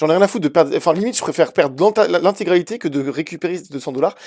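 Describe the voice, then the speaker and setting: A man speaks at a high pitch with ordinary variation. The recording is very clean, with a silent background. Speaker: crypto YouTuber. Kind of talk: casual market analysis video. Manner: hesitant, many fillers; fast.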